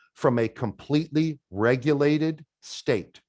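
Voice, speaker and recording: A man with a New York accent speaks with lively intonation in a fairly high voice. The sound is dry and close with no echo, against a quiet background. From New York metropolitan area. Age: 50s. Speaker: de-escalation trainer. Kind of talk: webinar presentation.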